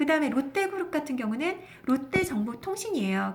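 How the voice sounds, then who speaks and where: Over noticeable background noise, a woman speaks at a moderate pace in a high pitch with very wide pitch swings. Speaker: stock market broadcaster. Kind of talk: investment talk show.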